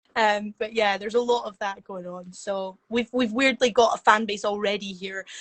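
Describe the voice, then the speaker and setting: A woman with a Scottish accent speaks with hardly any pauses and fairly even intonation. Her loudness swings widely. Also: fairly high pitch for a woman, moderate pace. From Scotland. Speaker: performer and event promoter. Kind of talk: casual chat.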